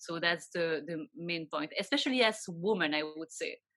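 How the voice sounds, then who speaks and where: Her words come at a moderate pace. This woman has a French accent. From Belgium. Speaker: financial advisor. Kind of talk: interview. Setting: video call.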